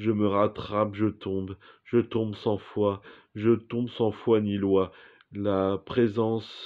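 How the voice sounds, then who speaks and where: Against a quiet background, a man speaks at a fairly low pitch. His intonation is monotone and flat. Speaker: performer reciting poetic text. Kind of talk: surreal spoken-word poetry, read aloud as a dreamlike monologue. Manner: slow, contemplative, deliberate, with pauses between images. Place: home room. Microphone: phone near.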